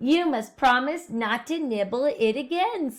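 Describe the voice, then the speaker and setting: A woman puts on a character voice, high-pitched and delivered at a moderate pace. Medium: read story.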